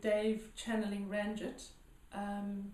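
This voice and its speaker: A woman's fairly high voice at a very slow pace, with audible echo in the room. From South Africa, Johannesburg. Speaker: healer. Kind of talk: interview. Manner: hesitant, many fillers.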